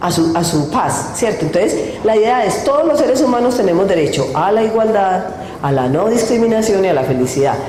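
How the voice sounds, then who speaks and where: A woman speaks at a moderate pace and a medium pitch, her voice swinging very widely in pitch, with audible room echo and noticeable background noise. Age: 60s. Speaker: lawyer giving a talk on women's rights. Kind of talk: public talk. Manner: conversational, addresses audience.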